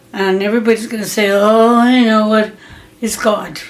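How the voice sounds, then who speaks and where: Fairly high pitch from a woman with an American accent, at a fairly slow pace, over noticeable background noise. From Pennsylvania. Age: 80s+. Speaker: grandmother interviewee. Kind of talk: family interview.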